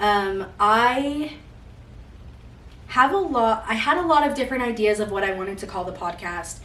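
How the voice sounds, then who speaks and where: A woman with an American accent and medium pitch at a moderate pace, ordinary pitch variation, and audible room echo. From Utah, US. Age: 20s. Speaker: podcast host. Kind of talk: casual monologue. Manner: loud.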